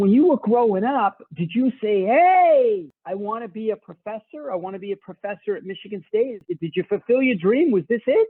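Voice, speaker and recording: With a Boston accent, a man talks at a moderate pace with hardly any pauses, his pitch high and his intonation lively. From Boston, Massachusetts. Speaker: podcast host. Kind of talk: interview. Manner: casual.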